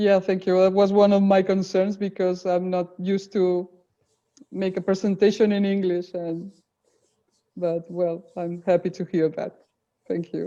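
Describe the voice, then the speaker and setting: Speaking at a fairly slow pace with long, frequent pauses, a woman has a dark, mellow tone and monotone, flat intonation. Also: medium pitch for a woman. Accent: Spanish. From Spain, Barcelona. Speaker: presenter. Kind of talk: webinar Q&A discussion. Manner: clear speech.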